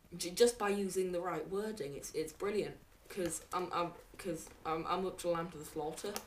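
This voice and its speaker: Moderate pace over noticeable background noise. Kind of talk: casual book review to camera. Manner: hesitant, many fillers.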